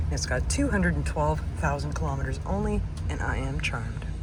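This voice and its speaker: A woman speaks at a moderate pace amid noticeable background noise and audible room echo. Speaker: van lifer vlogger. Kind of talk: casual vlog. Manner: animated.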